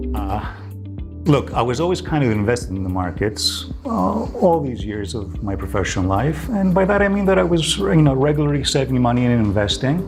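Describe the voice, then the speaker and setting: A man's medium-pitched voice with very wide pitch swings, a fairly quick pace, audible room echo and noticeable background noise. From US West Coast, Los Angeles. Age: 60s. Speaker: customer giving testimonial. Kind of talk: testimony. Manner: hesitant, many fillers.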